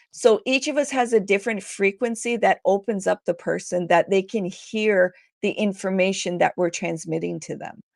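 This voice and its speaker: In a very clean, dry, close recording with no echo and a silent background, a woman with a medium-pitched voice speaks at a moderate pace with ordinary pitch variation. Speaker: meditation and hypnosis guide. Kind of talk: interview.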